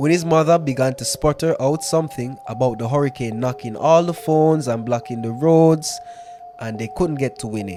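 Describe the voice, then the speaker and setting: Music plays in the background. A man speaks at a fairly high pitch. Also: ordinary pitch variation, moderate pace. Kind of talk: storytelling podcast, ghost story reading.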